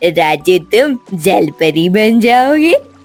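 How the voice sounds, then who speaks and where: A cartoonish character voice carries the clip. Faint music plays in the background. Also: female-sounding voice. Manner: bargaining, commanding.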